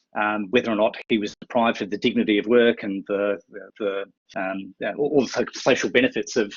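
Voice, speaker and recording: Hardly pausing, a man with a fairly low voice moves at a fairly quick pace with fairly even intonation. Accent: Australian. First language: sign language. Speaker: university administrator. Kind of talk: webinar presentation. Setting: online webinar. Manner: mumbles sometimes; halting, many fillers.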